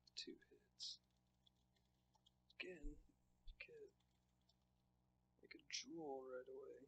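A man mumbles at a very slow pace. He takes long, frequent pauses over light background noise. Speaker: speedrunner. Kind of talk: casual gameplay commentary. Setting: low-quality microphone. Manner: occasional mumbling.

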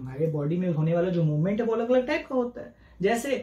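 A man with a high pitch talks at a moderate pace. Audible room echo surrounds him. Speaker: teacher. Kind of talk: lecture. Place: home room.

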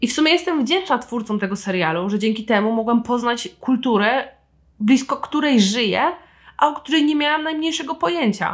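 In a very clean recording with a silent background, a woman speaks high-pitched and fairly quickly with lively intonation. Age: 20s. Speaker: podcast host and writer. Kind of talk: solo book review podcast. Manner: animated.

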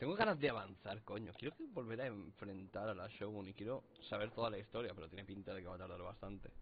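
At a very fast pace with hardly any pauses, a man speaks at a fairly low pitch with ordinary pitch variation over light background noise. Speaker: gaming youtuber. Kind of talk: let's play commentary; casual gameplay commentary. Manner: casual, rambling with filler words. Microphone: distorted audio in parts; headset.

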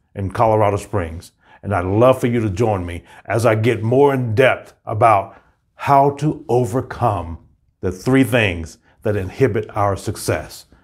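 With a quiet background behind him, a man talks at a fairly slow pace with ordinary pitch variation. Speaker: motivational coach. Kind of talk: motivational pep talk and promo. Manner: energetic, upbeat, rallying; emphatic, declarative, inspirational. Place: studio. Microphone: lapel.

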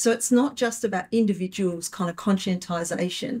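Speaking at a fairly quick pace, a woman sounds somewhat breathy, with ordinary pitch variation against a quiet background. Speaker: panelist, writer; panelist. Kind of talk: panel discussion. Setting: live event with audience. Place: meeting room.

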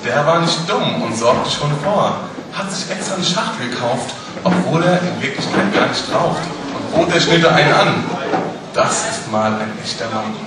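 A man's voice carries audible room echo against loud background noise. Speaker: carnival speech performer. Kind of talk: carnival Büttenrede, rhymed comic speech to a live audience. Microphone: podium.

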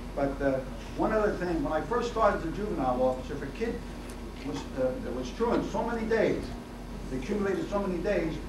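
Speech from a man comes at a very fast pace. The room echoes audibly, and background noise is noticeable. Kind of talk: public talk at a forum. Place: meeting room. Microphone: camera far.

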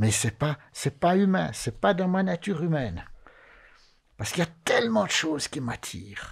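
The speaker's pitch swings very widely at a moderate pace. The background is quiet. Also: man. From Valais, Switzerland (Chablais); Valais, Switzerland. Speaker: Sabbath school leader; panelist. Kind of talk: Bible study discussion. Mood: earnest, reflective. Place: studio. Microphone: studio mic.

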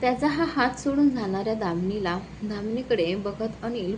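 The intonation moves in a lively way. The reading voice is natural.

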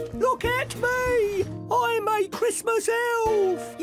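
A put-on character voice at an extremely high pitch speaks at a very slow pace over clear music in the background.

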